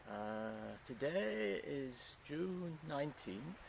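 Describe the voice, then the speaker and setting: A man speaks with lively intonation. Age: 70s. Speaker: gardener vlogger. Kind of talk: casual video monologue. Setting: outdoors in a garden. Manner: hesitant, many fillers.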